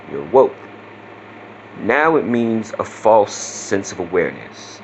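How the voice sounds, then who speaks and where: Noticeable background noise sits behind a man speaking at a very slow pace. His intonation is lively and his loudness swings widely. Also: medium pitch for a man. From Southeast Louisiana. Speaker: vlogger. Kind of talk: casual vlog talk. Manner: casual, with many fillers.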